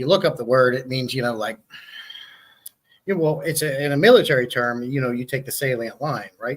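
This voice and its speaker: Pausing long and often, a man with a medium pitch talks at a fairly quick pace with ordinary pitch variation. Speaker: aquarium hobbyist YouTuber. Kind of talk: casual chat. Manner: fast.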